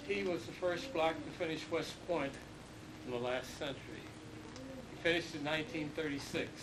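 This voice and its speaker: Amid noticeable background noise and audible room echo, a man speaks at a moderate pace with long, frequent pauses. His pitch is fairly high with ordinary pitch variation. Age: 80s+. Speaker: war veteran. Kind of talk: testimony.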